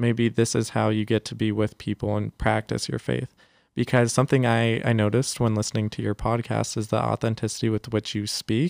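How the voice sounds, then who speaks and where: On a very clean recording with a silent background and a dry, close sound without echo, a man with an American accent speaks in an ordinary speaking voice, fairly low in pitch, at a fairly quick pace with fairly even intonation. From San Jose, California. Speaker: Jesuit volunteer and youth ministry guest. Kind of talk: casual podcast interview.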